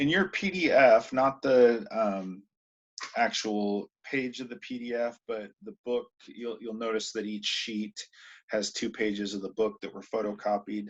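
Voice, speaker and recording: A man's medium-pitched voice at a fairly slow pace, with ordinary pitch variation and big swings in loudness. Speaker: high school English teacher. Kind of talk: recorded lesson. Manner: hesitant, many ums. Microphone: poor video quality.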